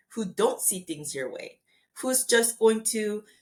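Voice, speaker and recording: The speaker is a woman. There is a somewhat breathy quality to her voice. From Korea. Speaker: neuroscientist and biotech executive. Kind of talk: interview conversation.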